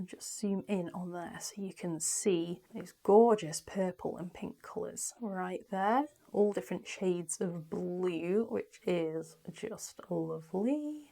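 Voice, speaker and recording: A woman speaks in a British accent at a very slow pace, with hardly any pauses. Her medium pitch shows ordinary pitch variation, and her loudness swings widely. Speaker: small crystal shop owner. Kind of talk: product showcase. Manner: animated.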